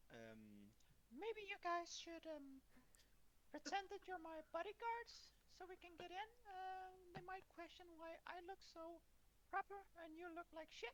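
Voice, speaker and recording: A man's squeaky, put-on character voice at an extremely high pitch, moderate pace with long, frequent pauses, clear background noise. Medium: actual play. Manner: casual, crude.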